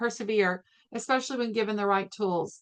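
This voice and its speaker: Here a woman speaks in a normal speaking voice. Her pitch is fairly high, with ordinary variation. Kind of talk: webinar presentation. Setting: online webinar.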